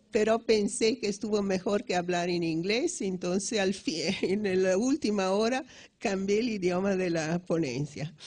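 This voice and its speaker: A woman's medium-pitched voice at a fairly slow pace, with ordinary pitch variation against a quiet background. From Italy. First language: Italian (speaking Spanish). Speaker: economics professor. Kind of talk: lecture. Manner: halting, many restarts.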